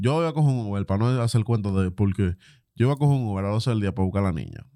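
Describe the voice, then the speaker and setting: On a very clean recording with a silent background, a man with a Dominican accent speaks in a fairly low pitch with a dark, mellow tone. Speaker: podcast co-host. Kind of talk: casual chat.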